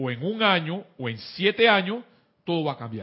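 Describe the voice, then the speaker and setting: Speaking at a very slow pace, a man with a Panamanian accent uses a high pitch with very wide pitch swings. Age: 50s. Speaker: spiritual teacher. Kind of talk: spiritual class on internet radio.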